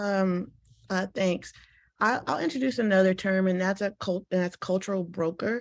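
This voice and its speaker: In an American accent, a woman speaks at a moderate pace with a plain, everyday voice, medium pitch, fairly even intonation and very even loudness, on a very clean recording with a silent background. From Washington, D.C. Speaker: panelist, academic. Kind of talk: panel discussion. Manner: conversational, many filler words.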